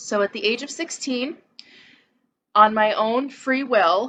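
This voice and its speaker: The voice is an ordinary speaking voice at a fairly slow pace. Its pitch variation is ordinary. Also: woman. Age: 20s. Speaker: person in recovery. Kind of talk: testimony.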